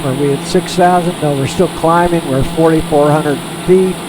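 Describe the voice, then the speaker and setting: A man speaks in a fairly high pitch with monotone, flat intonation at a moderate pace. Audible room echo and noticeable background noise are present. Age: 80s+. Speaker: flight simulator gamer, retired pilot. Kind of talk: casual gameplay commentary. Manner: halting, with frequent repetitions.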